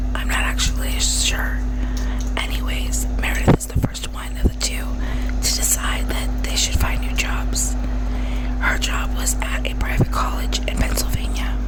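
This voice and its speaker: A woman is whispering at a fairly slow pace. Noticeable background noise runs underneath. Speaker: ASMR true crime YouTuber. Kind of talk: ASMR true crime narration. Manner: whispered.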